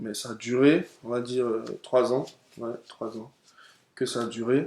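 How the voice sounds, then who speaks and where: A man speaks at a very slow pace in a medium pitch. His intonation stays flat and monotone while his loudness swings widely. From Ivory Coast, Abidjan. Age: 20s. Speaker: student, churchgoer sharing faith story. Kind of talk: testimony. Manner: halting, many hesitations.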